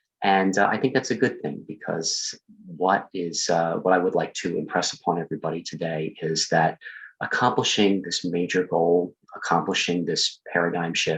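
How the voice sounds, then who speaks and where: A soft-spoken man talks at a moderate pace. His pitch is very deep and low. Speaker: project coordinator presenting. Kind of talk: recorded presentation. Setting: at home, Zoom room recording. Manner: soft-spoken, keeping voice low.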